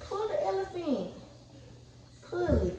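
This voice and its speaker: A woman at a very slow pace, with noticeable background noise and audible room echo. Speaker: mother vlogger. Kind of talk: casual vlog chat. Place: home room. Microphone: phone near.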